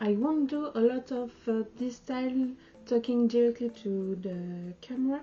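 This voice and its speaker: Over noticeable background noise, the speaker talks at a fairly slow pace in a French accent with ordinary pitch variation. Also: woman. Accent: French accent, non-native English. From France. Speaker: sewing vlogger. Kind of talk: casual channel introduction to camera. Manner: halting, many hesitations.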